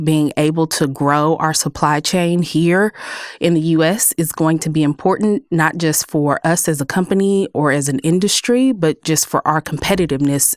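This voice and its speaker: A woman with a Texas accent, very deep and low in pitch, ordinary pitch variation, dry and close with no echo. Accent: Texas accent, noticeable. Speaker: clean energy policy director. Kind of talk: podcast interview.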